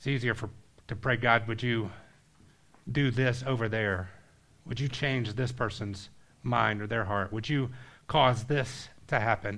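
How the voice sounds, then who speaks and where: Speaking in an American accent, the voice leaves long, frequent pauses. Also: man, medium pitch for a man, fairly slow pace. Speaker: pastor. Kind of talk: sermon ending in a prayer. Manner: fervent, earnest prayer with a hushed, pleading tone; conversational, animated storyteller.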